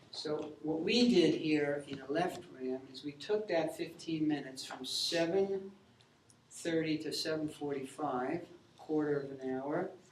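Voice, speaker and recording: Speaking at a fairly slow pace, a man with a fairly high pitch and ordinary pitch variation is heard amid audible room echo and noticeable background noise. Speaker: math teacher. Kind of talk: classroom lecture. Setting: classroom.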